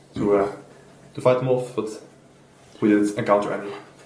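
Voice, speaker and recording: Audible room echo surrounds speech with fairly even intonation. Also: man. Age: young. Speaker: trip participant. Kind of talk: casual group discussion.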